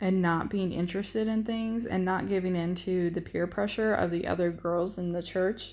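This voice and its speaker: A woman with a plain, everyday voice and an American accent, medium pitch, fairly even intonation and a moderate pace. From Florida. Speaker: soldier, podcast co-host. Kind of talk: personal storytelling monologue.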